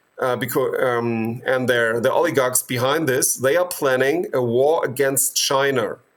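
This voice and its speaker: This voice has a German accent and moves at a fairly slow pace with hardly any pauses. Its intonation is fairly even, and the loudness stays very even throughout. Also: man, medium pitch for a man. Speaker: medical doctor and activist. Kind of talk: interview. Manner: hesitant, with many fillers.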